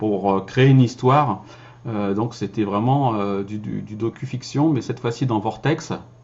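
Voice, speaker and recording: Somewhat breathy and fairly low in pitch, a man's voice comes through. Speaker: voice-over actor and filmmaker. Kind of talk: casual vlog talk. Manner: hesitant, many fillers.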